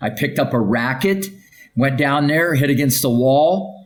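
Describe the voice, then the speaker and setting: Someone with an American accent talks with lively intonation, and audible room echo comes through. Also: man. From US Midwest, Ohio. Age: 60s. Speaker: tennis coach. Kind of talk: interview. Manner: energetic.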